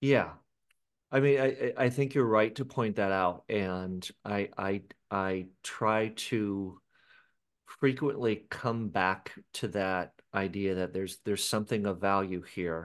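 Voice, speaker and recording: A man speaks very slowly with an American accent. His pitch variation is ordinary. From Seattle, Washington, US Pacific Northwest. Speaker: author and life coach. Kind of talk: interview.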